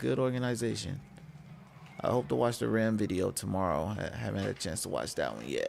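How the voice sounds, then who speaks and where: A man talks at a fairly quick pace with music in the background. His voice is soft-spoken. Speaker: gaming streamer. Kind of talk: casual chat. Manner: halting.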